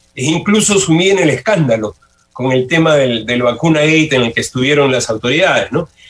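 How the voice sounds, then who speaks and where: With an ordinary speaking voice, a man talks at a fairly quick pace using a fairly high pitch and lively intonation. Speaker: sociology professor and university rector candidate. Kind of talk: radio interview.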